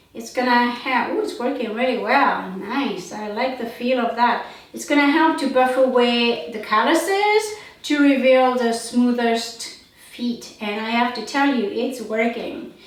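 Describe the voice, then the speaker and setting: With audible room echo and noticeable background noise, a woman with a non-native accent speaks at a high pitch and a fairly slow pace, with ordinary pitch variation. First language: not English. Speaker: beauty product reviewer. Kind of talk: product demonstration. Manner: halting, filler-heavy.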